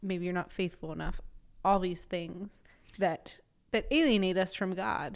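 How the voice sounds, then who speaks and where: A woman with a plain, everyday voice and a medium pitch speaks at a fairly slow pace with ordinary pitch variation. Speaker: pastor. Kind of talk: casual chat.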